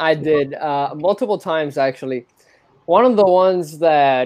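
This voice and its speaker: A man with a Spanish accent speaks at a fairly slow pace, his fairly high pitch showing ordinary variation. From Cuba (Havana), moved to US at 13. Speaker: spiritual seeker and filmmaker. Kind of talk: casual interview about spirituality.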